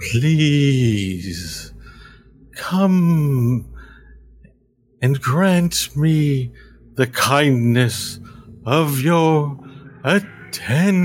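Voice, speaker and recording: Using a put-on character voice, this speaker moves very slowly and stops often for long pauses. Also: man, fairly high pitch for a man. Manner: soothing, coaxing, quietly insistent.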